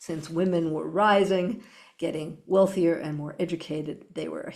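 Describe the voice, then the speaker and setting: This woman's voice sits fairly low and carries vocal fry. Her intonation stays fairly even. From Canada. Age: 60s. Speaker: business consultant. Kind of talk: interview.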